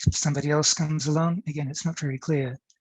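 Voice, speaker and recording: This man's voice is somewhat breathy and fairly high in pitch, with fairly even intonation. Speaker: professor. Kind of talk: academic conference talk. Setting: online conference. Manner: fast.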